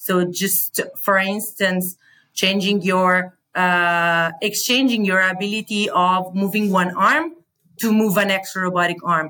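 Speaking at a fairly slow pace, a woman has a medium pitch and a bright, sharp tone. Her intonation is fairly even and her loudness very even. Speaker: PhD researcher in bioengineering. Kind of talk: interview. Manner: halting.

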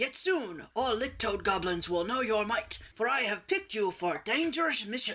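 A man puts on a character voice, pitched high. He is loud. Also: moderate pace, hardly any pauses. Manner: scary, commanding.

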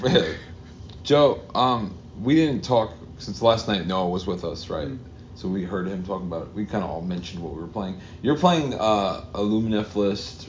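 A man with a fairly low pitch keeps a moderate pace, using an ordinary speaking voice and ordinary pitch variation. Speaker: tournament player. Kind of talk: casual banter. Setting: live at a tournament event.

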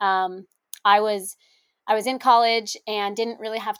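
A woman speaks in a plain, everyday voice at a moderate pace. Her pitch is fairly high and her intonation fairly even. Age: 20s. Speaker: marketing director. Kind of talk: interview conversation.

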